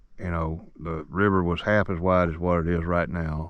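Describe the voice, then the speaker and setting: In a Southern US accent, a man speaks with a very deep, low pitch and a monotone, flat intonation. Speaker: fishing vlogger. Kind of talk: outdoor vlog narration. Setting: outdoors.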